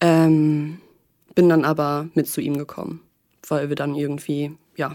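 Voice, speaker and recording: The voice has a dark, mellow tone and a fairly slow pace, in a very clean recording with a silent background. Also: woman. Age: 20s. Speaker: podcast guest sharing a breakup. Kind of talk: personal interview. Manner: calm, composed; hesitant, many fillers.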